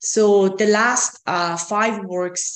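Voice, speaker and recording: A woman with a Persian accent, ordinary pitch variation, and audible room echo. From Iran. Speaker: artist. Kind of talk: online artist talk. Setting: video call. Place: home room. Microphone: video call.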